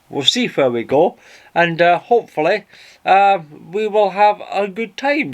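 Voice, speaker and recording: Speaking with a Scottish accent at a fairly slow pace, a man uses a high pitch with very wide pitch swings against a quiet background. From Scotland. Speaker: boating vlogger. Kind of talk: casual vlog talk to camera. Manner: casual, chatty with fillers.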